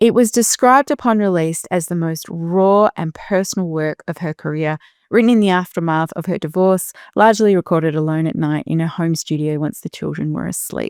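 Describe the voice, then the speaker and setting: A woman with an Australian accent, fairly low in pitch, in a dry, close sound with no echo. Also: ordinary pitch variation, fairly quick pace, very clean recording, silent background. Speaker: podcast host. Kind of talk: interview introduction and casual conversation.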